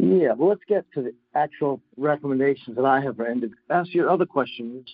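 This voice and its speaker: A man with a plain, everyday voice talks at a fairly quick pace with hardly any pauses, a fairly high pitch and ordinary pitch variation. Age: 60s. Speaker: physician and climate advocate. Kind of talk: interview.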